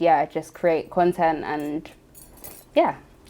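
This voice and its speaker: At a moderate pace, a woman speaks in a London accent. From London, Tottenham. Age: 20s. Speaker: finance content creator. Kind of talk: interview.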